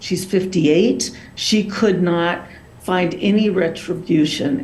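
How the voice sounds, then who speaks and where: At a very slow pace and medium pitch, a woman speaks with ordinary pitch variation amid noticeable background noise and audible room echo. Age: 60s. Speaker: abuse survivor testifying. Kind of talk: public testimony. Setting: video call.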